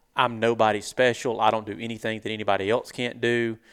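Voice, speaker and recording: A man with a Southern US accent speaks at a moderate pace in a medium pitch, his intonation flat and monotone. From US South. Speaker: turkey hunter and online show host. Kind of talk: casual interview chat. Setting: hunting convention.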